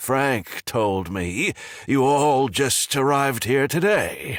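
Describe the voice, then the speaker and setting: On a very clean recording with a silent background, a man puts on a raspy character voice at a medium pitch, speaking very slowly with lively intonation. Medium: read story. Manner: grim, restrained.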